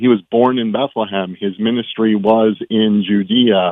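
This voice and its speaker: This man has an unremarkable speaking voice, fairly low in pitch, with fairly even intonation. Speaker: caller. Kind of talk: casual chat. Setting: phone call.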